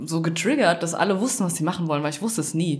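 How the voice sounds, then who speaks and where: A woman talks very fast in a fairly low voice with ordinary pitch variation. Noticeable background noise and audible room echo fill the recording. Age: 20s. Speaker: podcast co-host, law graduate. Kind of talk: casual chat.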